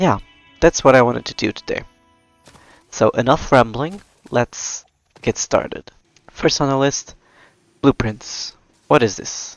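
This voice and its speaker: Over music in the background, a medium-pitched man with a non-native accent speaks at a fairly slow pace, with ordinary pitch variation and long, frequent pauses. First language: not English. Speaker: gaming video creator. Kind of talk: let's play commentary. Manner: casual, chatty.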